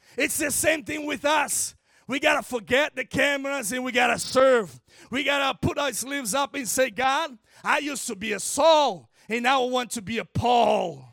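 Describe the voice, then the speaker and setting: An animated man with an extremely high pitch, bright, sharp tone, moderate pace, ordinary pitch variation and a Brazilian Portuguese accent. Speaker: guest preacher. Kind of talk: sermon. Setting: church.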